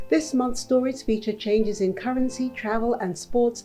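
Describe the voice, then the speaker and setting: A woman's voice with music in the background. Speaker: news presenter. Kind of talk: news headlines presentation.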